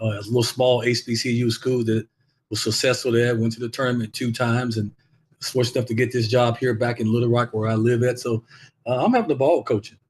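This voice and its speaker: At a very fast pace, a man speaks at medium pitch in a somewhat breathy voice. His intonation stays monotone and flat. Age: 60s. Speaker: basketball coach and former NBA player. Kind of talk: interview. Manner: halting, repeats words.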